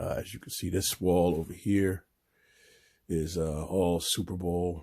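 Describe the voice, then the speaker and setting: A man's very deep, low voice with a dark, mellow tone, somewhat breathy and fairly even in intonation, on a very clean recording with a silent background. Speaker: sports fan YouTuber. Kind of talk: casual room tour. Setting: home room.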